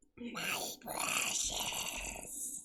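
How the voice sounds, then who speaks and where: The speaker uses a put-on character voice that is high and raspy. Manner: sinister, creeping.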